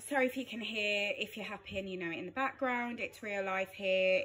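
A woman's voice over faint background music. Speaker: parent vlogger. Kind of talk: casual vlog chat. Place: kitchen. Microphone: phone near.

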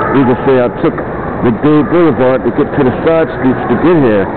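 Loud background noise surrounds a man's voice. He speaks at a fairly slow pace with ordinary pitch variation. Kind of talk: casual walking tour commentary. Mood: proud, enthusiastic. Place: shop. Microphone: phone near.

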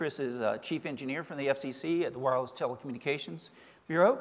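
The speaker is a man. His pace is fairly quick. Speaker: panel moderator. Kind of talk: introductory remarks. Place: stage. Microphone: podium.

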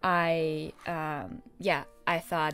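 A woman talks over faint music in the background. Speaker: book vlogger. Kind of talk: casual vlog chat. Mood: cheerful, enthusiastic. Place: home room.

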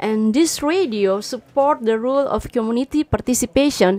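A woman with a high pitch speaks at a fairly slow pace, using ordinary pitch variation. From Indonesia. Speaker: urban planner, trainee; radio guest. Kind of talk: self-introduction. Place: studio. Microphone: studio mic.

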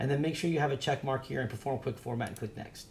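A man at a very fast pace, somewhat breathy, with ordinary pitch variation over light background noise. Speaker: drone hobby tutorial youtuber. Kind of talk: screen-share tutorial. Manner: fast talker; casual, filler-heavy. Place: shop. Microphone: webcam.

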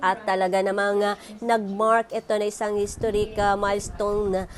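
A woman speaks at a moderate pace and medium pitch in a monotone, flat way, with noticeable background noise behind her.

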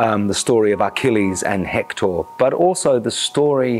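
A man talks at moderate speed. Music sounds faintly behind him. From New Zealand. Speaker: actor. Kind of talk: interview answer. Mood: enthusiastic, expressive. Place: studio. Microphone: lapel.

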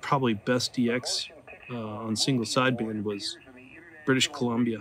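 Over noticeable background noise, a man with an American accent speaks in a relaxed tone with fairly even intonation. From Oklahoma. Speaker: amateur radio hobbyist YouTuber; ham radio hobbyist. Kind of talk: casual vlog narration; casual vlog chat. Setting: outdoors in backyard. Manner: relaxed, with fillers. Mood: relaxed, chilling. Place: garden. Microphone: phone near.

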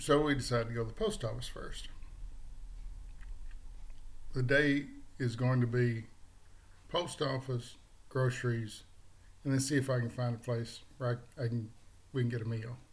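Somewhat breathy, a man speaks at a moderate pace with fairly even intonation and long, frequent pauses. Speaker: vlogger. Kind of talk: casual vlog chat. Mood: wry, amused. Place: home room. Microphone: webcam.

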